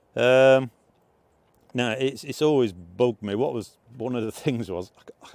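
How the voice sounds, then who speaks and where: A moderate pace in an English accent. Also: man. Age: 60s. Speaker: motorcycle vlogger. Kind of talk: casual vlog review. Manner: hesitant, many fillers.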